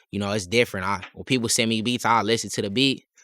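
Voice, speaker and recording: A man's very fast delivery, bright and sharp in tone, with fairly even intonation and a dry, close sound with no echo. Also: very clean recording, silent background. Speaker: rapper and producer. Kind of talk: casual chat.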